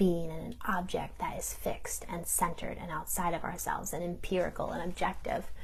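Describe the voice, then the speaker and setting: A woman talks in a space with audible room echo. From New York, Italian-American community. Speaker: theologian. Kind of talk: recorded talk.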